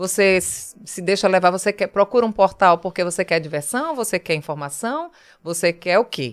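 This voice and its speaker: A woman's animated voice in a Pernambuco accent, with lively intonation, music in the background and a dry, close sound with no echo. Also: medium pitch for a woman, moderate pace. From Pernambuco Agreste, Brazil. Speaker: TV journalist. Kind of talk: casual interview chat.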